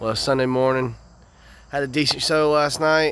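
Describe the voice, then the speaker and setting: A man with a Southern US accent, talking at a moderate pace. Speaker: singer-songwriter vlogger. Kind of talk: vlog. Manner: casual, animated.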